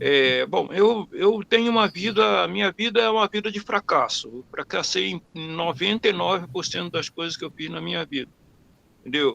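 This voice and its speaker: At a moderate pace, a man's voice rises and falls sharply in loudness, captured with a dry, close sound and no echo. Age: 60s. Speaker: webinar participant asking a question. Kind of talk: personal question during a webinar Q&A. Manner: halting, many repetitions and fillers.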